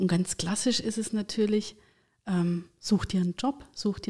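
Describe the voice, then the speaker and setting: A woman speaks at a moderate pace. Her tone is dark, mellow and somewhat breathy. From Thuringia, eastern Germany. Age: 40s. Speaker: career coach and HR consultant. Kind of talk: casual interview.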